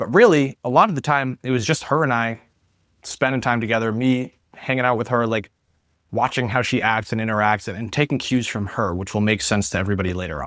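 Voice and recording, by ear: A man with ordinary pitch variation and a fairly bright tone, in a dry, close sound with no echo on a very clean recording with a silent background. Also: medium pitch for a man, fairly quick pace.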